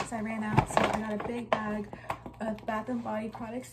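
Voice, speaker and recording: There is loud background noise behind the speaker. A woman with an American accent talks at a moderate pace. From California. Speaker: YouTuber. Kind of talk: product haul vlog. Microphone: phone near.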